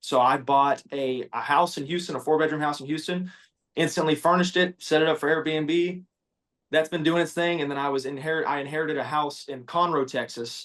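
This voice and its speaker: An unremarkable speaking voice from a man, with fairly even intonation. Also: fairly high pitch for a man, fairly quick pace. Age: 20s. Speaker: welder and social media creator. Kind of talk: casual interview chat.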